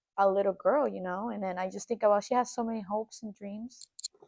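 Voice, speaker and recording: A woman at a fairly quick pace and fairly high pitch, in a dry, close sound with no echo. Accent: Spanish. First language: Spanish. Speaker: podcast co-host, aspiring actress. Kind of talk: casual chat.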